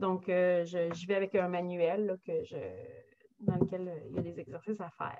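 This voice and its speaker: Her loudness swings widely as a woman speaks at a moderate pace and medium pitch with fairly even intonation. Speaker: German language teacher. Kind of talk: virtual info session presentation. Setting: video call. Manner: halting, many fillers and repetitions.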